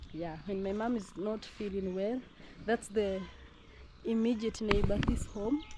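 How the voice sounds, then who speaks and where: A woman's medium-pitched voice at a fairly slow pace, with fairly even intonation, long, frequent pauses and noticeable background noise. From Kenya. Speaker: vlogger. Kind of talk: casual vlog narration. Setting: outdoors.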